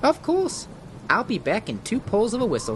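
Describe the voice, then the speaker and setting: Over clear background noise, a put-on character voice with a fairly high pitch moves at a moderate pace. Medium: audio drama.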